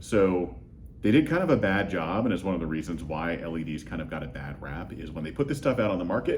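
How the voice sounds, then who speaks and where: A man talks at a very fast pace in a very deep, low pitch, with very wide pitch swings. There is audible room echo. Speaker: lighting design expert. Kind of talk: interview. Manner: halting, many fillers.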